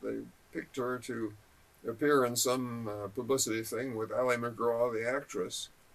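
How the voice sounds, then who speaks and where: Medium-pitched for a man, this male voice moves at a moderate pace. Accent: Californian. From Southern California (Balboa Island). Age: 80s+. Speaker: local history interviewee. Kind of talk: oral history interview.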